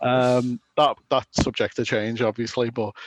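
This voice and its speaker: A man with a Scouse accent at a medium pitch and fairly slow pace, in a dry, close sound with no echo. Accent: mild Scouse. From Liverpool, England. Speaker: chiptune musician and show organizer. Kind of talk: casual podcast chat. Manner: lots of filler words, hesitant.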